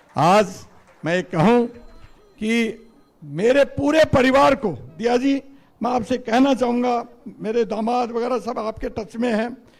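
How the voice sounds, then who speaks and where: A man is speaking. His pitch is high. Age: 60s. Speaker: politician. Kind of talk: political speech. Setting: party headquarters event with audience.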